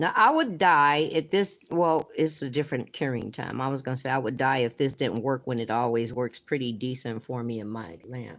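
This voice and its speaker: A woman with a very deep, low voice speaks at a moderate pace with hardly any pauses and ordinary pitch variation, in a very clean recording with a silent background. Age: 60s. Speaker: nail art youtuber. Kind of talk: live stream chat and tutorial. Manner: casual, chatty.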